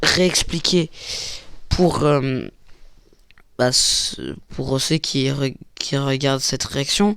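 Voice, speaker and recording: Here a man speaks with ordinary pitch variation. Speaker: animator and YouTuber reacting to reactions. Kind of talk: reaction video commentary. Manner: halting, many fillers.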